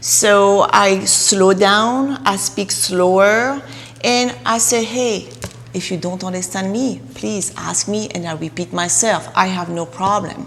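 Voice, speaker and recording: With a non-native accent, a woman talks at a fairly slow pace with very wide pitch swings. Noticeable background noise sits behind her. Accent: deep foreign. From Russia. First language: Russian. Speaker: real estate agent. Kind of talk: interview.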